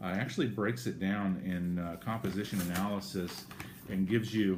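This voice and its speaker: A man with a very deep, low pitch and an American accent, fairly quick pace, audible room echo. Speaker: vlogger sharing weight-loss surgery progress. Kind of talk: casual video diary. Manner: halting, many fillers.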